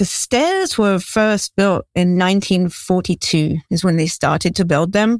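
Fairly slow and fairly even in intonation, a woman speaks with an English accent. The sound is dry and close with no echo, on a very clean recording with a silent background. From England. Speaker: conservation advocate. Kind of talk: interview.

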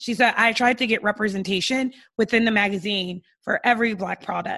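Loud and fairly quick, a woman speaks at a medium pitch with fairly even intonation. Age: 30s. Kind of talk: casual chat.

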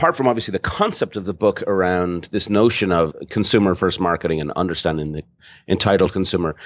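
A man with an Irish accent at a fairly quick pace. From Ireland. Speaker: marketing consultant and author. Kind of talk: interview.

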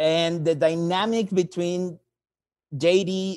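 Here is a man speaking with a Mexican accent. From Mexico. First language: Spanish. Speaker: caller, English teacher. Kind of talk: call-in question. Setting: call.

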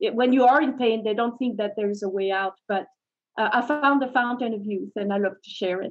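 A woman's fairly high pitch, a normal speaking voice, at a fairly quick pace with ordinary pitch variation. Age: 60s. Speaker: fitness company CEO and trainer. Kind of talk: interview.

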